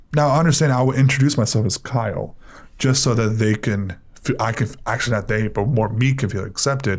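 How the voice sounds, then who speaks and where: A man with an American accent speaks at a fairly quick pace, at a medium pitch, somewhat breathy and with ordinary pitch variation. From Miami, Florida (Cuban American). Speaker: guest on talk podcast. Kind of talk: casual chat, personal testimony.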